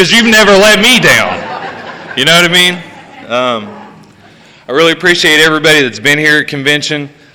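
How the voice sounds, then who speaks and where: A man with an Appalachian accent talks at a fairly quick pace with lively intonation. Noticeable background noise and audible room echo fill the recording. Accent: Appalachian American. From West Virginia. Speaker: recovery speaker. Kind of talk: testimony. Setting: stage with audience. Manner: loud.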